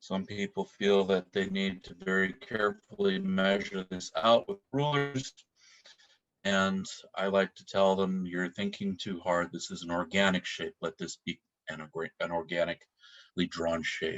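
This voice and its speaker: A man's very deep, low voice at a fairly slow pace, with big swings in loudness against a quiet background. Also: fairly even intonation. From Alaska. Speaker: Northwest Coast artist teaching drawing; drawing instructor. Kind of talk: online art tutorial workshop. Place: home room. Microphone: webcam.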